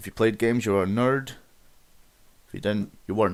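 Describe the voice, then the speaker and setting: This man speaks with a Scottish accent at a medium pitch. The recording is very clean, with a silent background. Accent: mild Scottish, flat. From Scotland. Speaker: gaming YouTuber. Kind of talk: casual monologue rant. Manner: halting, repeats words.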